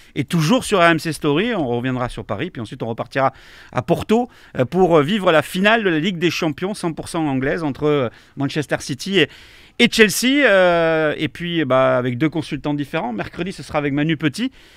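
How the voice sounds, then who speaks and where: With a southern French accent, a man talks at a moderate pace with a fairly high pitch and lively intonation, in a very clean recording with a silent background and a dry, close sound with no echo. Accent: southern French accent, kept. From southwest France, Montauban (Tarn-et-Garonne). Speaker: sports commentator. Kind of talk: casual interview chat. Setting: live stream. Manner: halting, many hesitations.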